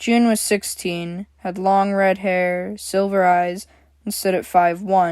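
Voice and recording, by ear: Someone is reading aloud in a natural voice. The words come in the manner of a read text.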